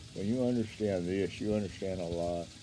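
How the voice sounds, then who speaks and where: This man has a very deep, low pitch. His intonation is fairly even. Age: 70s. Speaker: karate teacher. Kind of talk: casual monologue to camera. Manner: halting.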